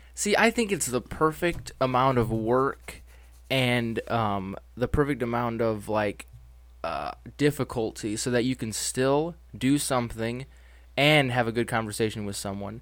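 Silence fills the background of this very clean recording. It features a plain, everyday voice whose pitch varies an ordinary amount. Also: man, medium pitch for a man. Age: 20s. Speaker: collector and guest. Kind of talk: casual chat.

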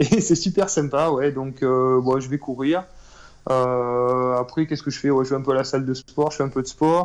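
A man with an ordinary speaking voice talks at a moderate pace and medium pitch, his intonation fairly even against a quiet background. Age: 30s. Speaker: real estate investor. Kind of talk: interview.

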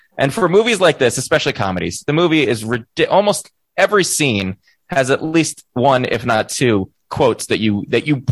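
At a moderate pace, a man's voice shows vocal fry and very wide pitch swings. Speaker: podcast co-host. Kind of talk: casual chat.

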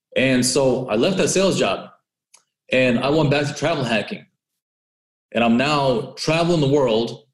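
At a moderate pace, a man with a Californian accent speaks at a medium pitch. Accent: Californian American. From Southern California (Orange County), born in Russia. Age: 20s. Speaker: credit and travel hacker, entrepreneur. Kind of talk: interview.

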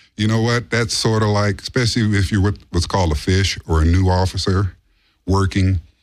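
Recorded very cleanly with a silent background, a man with an American accent and an unremarkable speaking voice talks at a fairly quick pace, his pitch fairly low and his intonation fairly even. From Los Angeles, US. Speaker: bodyguard. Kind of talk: casual chat. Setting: studio. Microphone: too quiet, needs to be closer to mic.

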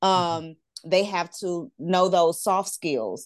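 A woman at a very slow pace, fairly low in pitch with ordinary pitch variation, dry and close with no echo against a quiet background. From Louisiana. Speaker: college administrator. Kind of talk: panel discussion.

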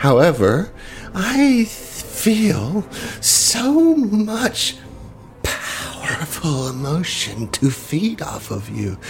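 A put-on character voice speaks in a menacing tone at a middle pitch and a very slow pace, with clear background noise. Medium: actual play. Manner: menacing, gloating.

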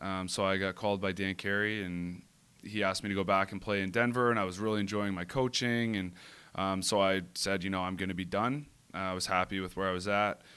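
A man with an Ontario accent, fairly low in pitch, fairly quick in pace, with fairly even intonation, in a very clean recording with a silent background. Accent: Canadian (Ontario). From Ontario, Canada (east of Toronto). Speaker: professional lacrosse player. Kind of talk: casual interview.

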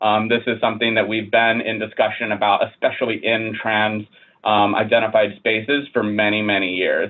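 Monotone, flat intonation from a man at a fairly low pitch. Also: moderate pace. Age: 30s. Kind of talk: interview conversation.

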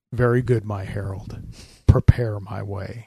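At a moderate pace, a man does a put-on character voice, fairly low in pitch. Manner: mighty, commanding.

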